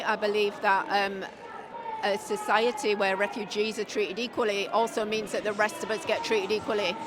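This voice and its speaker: In a Yorkshire accent, a woman speaks at a moderate pace, her voice echoing in the room while a crowd is heard behind her. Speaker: counter-protester. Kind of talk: street interview. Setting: outdoors at a street protest.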